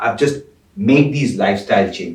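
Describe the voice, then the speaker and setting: A man's fairly high, somewhat breathy voice at a fairly quick pace, with audible room echo. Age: 60s. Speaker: former army officer and global diplomat. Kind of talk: podcast interview.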